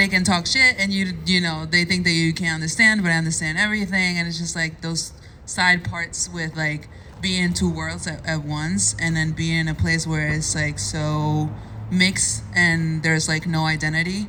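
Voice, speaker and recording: Against noticeable background noise and audible room echo, a woman with a fairly low pitch speaks at a moderate pace. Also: ordinary pitch variation. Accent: Spanish. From Cuba. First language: Spanish. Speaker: content creator. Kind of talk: personal testimony at a meetup panel.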